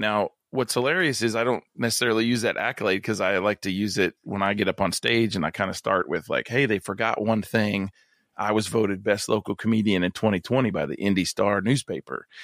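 In an ordinary speaking voice, a man with fairly low pitch and ordinary pitch variation talks with hardly any pauses, recorded very cleanly against a silent background with a dry, close sound and no echo. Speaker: comedian and pastor. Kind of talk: casual chat. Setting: podcast interview.

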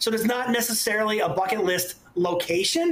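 With noticeable background noise behind him, a man talks at a moderate pace in an animated, excited tone. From Ontario, Canada. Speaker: urban explorer and photographer. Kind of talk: casual interview chat. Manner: halting, many fillers.

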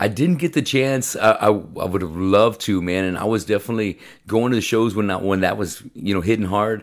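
A man with a fairly low pitch and an ordinary speaking voice talks at a fairly quick pace with hardly any pauses and ordinary pitch variation, on a very clean recording with a silent background. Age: 50s. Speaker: podcast host and metal musician. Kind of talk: casual interview chat.

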